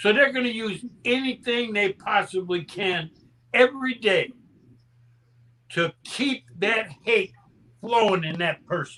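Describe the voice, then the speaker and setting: In an animated tone, a man with a high-pitched, raised, projected voice speaks at a fairly slow pace with long, frequent pauses. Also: ordinary pitch variation. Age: 70s. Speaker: panelist. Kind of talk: casual chat.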